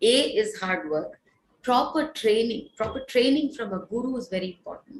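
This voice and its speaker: A woman speaks with an Indian accent at a moderate pace and a high pitch. Her intonation is lively and her loudness swings widely. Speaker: Carnatic classical vocalist. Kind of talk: interview Q&A. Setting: online live concert interaction.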